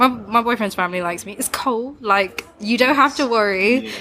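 Over noticeable background noise, a woman speaks with an East Midlands accent. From East Midlands, England. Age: 20s. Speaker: tattoo artist. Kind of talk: casual chat.

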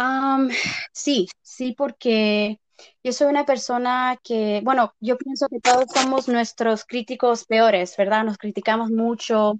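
A woman's high-pitched voice at a very slow pace, fairly even in intonation, in a dry, close sound with no echo. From Texas, Mexican family. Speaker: paralegal and aspiring actress. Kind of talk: interview.

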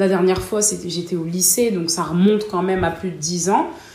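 Through noticeable background noise and audible room echo, a woman speaks at a fairly low pitch with fairly even intonation. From northern France, Lille. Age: 20s. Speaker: customer service worker. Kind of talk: interview. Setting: at her home.

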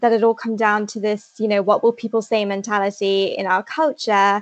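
A woman with an English Midlands accent, fairly high pitch and a fairly quick pace. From England, Leicester. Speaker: novelist. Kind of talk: interview.

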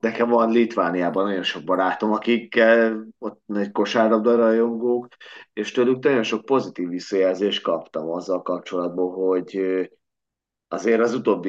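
A man uses a normal speaking voice at a fairly slow pace with ordinary pitch variation. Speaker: podcast host, sports fan. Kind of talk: casual sports podcast chat.

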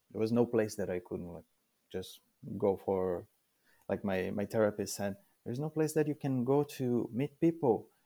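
The dark, mellow voice moves at a moderate pace with ordinary pitch variation, in a very clean recording with a silent background. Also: man. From Brazil. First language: Portuguese. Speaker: immigrant sharing life story. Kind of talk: interview. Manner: halting, many fillers.

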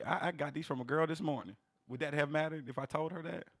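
Animated and very fast, a man speaks at a fairly high pitch. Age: 30s. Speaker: podcast co-host. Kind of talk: casual banter, comedic. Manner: animated, joking.

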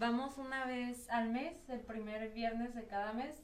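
A woman speaks at a fairly slow pace in a high pitch with fairly even intonation. Noticeable background noise and audible room echo are present. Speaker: youth parliament member, lawyer. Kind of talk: radio interview. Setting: radio studio.

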